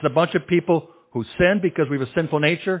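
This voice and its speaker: A man speaks in a passionate tone with ordinary pitch variation. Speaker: pastor. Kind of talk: sermon. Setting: church.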